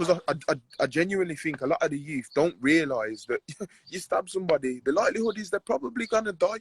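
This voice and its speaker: Talking very fast in a Birmingham accent, a man with a high-pitched voice uses lively intonation, and the sound is dry and close with no echo. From Birmingham, England. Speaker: professional boxer. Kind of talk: casual interview chat.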